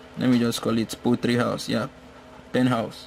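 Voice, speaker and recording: A man's medium-pitched voice, monotone and flat, over noticeable background noise. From Nigeria. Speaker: poultry veterinarian and farmer. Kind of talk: tutorial.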